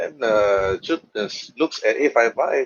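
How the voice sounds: The sound is dry and close, with no echo. A man talks at a slow pace with lively intonation and a slightly husky edge.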